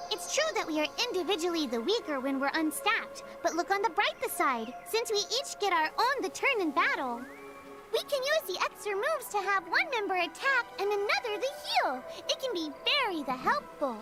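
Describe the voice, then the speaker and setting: Over loud music in the background, a put-on character voice at an extremely high pitch speaks at a moderate pace. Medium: game stream. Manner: odd verbal tic inserting 'the' before words; cheerful, chatty, explanatory.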